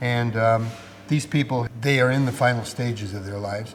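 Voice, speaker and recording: Speaking at a fairly quick pace, a man has a Canadian accent. Audible room echo and noticeable background noise are present. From Ontario, Canada. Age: 60s. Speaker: pilgrim, hospice volunteer. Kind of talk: interview testimony. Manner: reflective, with frequent fillers.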